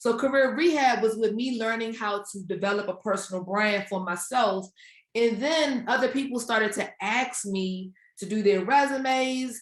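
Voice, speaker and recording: A woman's fairly high voice with a DC area accent. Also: ordinary pitch variation, moderate pace. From Washington DC area. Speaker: career coach and author. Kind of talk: interview. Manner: casual.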